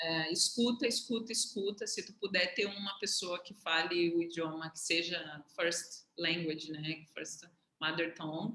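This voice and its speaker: Bright and sharp, a woman's fairly low voice at a fairly slow pace, with ordinary pitch variation and big swings in loudness. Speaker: economist sharing career path with students. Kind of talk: casual mentoring conversation on video call.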